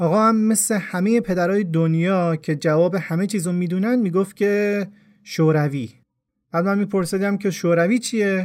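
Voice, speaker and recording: A high-pitched man talks at a moderate pace with ordinary pitch variation and very even loudness. The recording is very clean, with a silent background. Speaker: podcast storyteller. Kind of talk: scripted narration.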